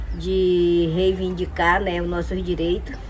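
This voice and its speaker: A woman's fairly slow speech, with audible room echo and noticeable background noise. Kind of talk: testimony. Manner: hesitant, frequent fillers.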